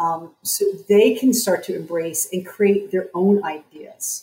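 The speaker is a woman. She has an American accent. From US, New Jersey. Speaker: psychotherapist and coach. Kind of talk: interview.

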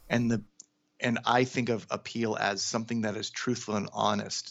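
Using vocal fry, a man with an American accent talks at a moderate pace. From US Pacific Northwest (Seattle, Washington). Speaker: cartoonist and character designer. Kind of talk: casual interview.

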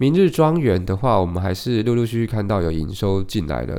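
A man speaks with a dark, mellow tone. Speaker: podcast host, real estate investor. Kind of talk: solo podcast monologue on housing market. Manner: casual, hesitant with fillers.

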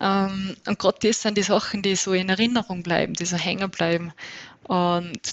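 The speaker has an Innsbruck accent and a moderate pace. The intonation stays fairly even. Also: woman. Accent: Austrian, some Innsbruck dialect. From Upper Austria. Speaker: trail runner. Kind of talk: interview.

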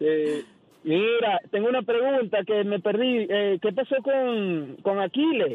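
This man has a high pitch and lively intonation. His loudness stays very even. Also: fairly slow pace. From Venezuela. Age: 30s. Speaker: caller, listener. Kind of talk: radio call-in. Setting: phone call.

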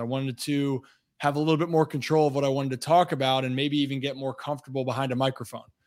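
At a very fast pace, a man with an American accent talks with fairly high pitch and fairly even intonation. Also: very clean recording, silent background. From Maryland, Baltimore County. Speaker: former baseball player and sports analyst. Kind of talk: casual interview.

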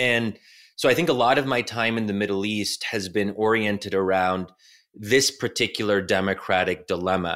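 Recorded very cleanly against a silent background, a man with an American accent uses an ordinary speaking voice at a fairly low pitch, a moderate pace, and ordinary pitch variation. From United States. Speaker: think tank scholar and author. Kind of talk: interview conversation.

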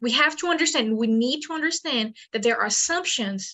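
In a Portuguese accent, a woman speaks at a high pitch and a moderate pace with ordinary pitch variation. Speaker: paleontologist. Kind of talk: interview.

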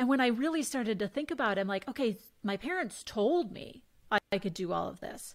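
A woman speaks in a normal speaking voice at a fairly high pitch and a fairly quick pace. Her intonation is lively, and the recording is very clean with a silent background. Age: 40s. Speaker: women's empowerment coach and former sports reporter. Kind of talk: casual interview chat.

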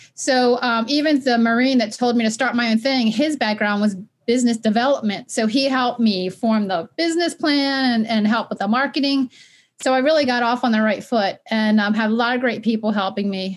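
Energetic and animated, a woman talks at a fairly quick pace. Her fairly high pitch moves with ordinary variation. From Maryland (Baltimore). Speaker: nonprofit founder, former educator. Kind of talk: interview conversation. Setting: remote call, not in same room. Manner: energetic, animated.

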